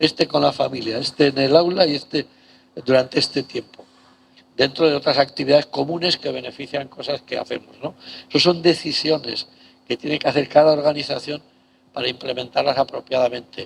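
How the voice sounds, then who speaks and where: With an unremarkable speaking voice, a man talks in a fairly high pitch and fairly even intonation. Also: fairly quick pace. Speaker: professor. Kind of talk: lecture.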